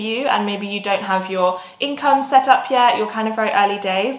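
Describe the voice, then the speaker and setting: The speaker has a British accent. Noticeable background noise runs underneath. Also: woman. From South of England. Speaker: digital nomad vlogger. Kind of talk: casual talk to camera.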